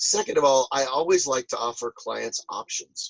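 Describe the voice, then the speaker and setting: The sound is dry and close, with no echo. A man speaks at a moderate pace. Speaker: professional charity auctioneer and fundraiser. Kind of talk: interview answer. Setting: video call over Zoom from a boat.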